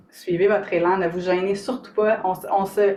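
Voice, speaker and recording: A woman talks with a Quebec accent. Her pitch is medium. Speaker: author and somatic coach. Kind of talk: live stream talk to viewers. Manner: animated, informal.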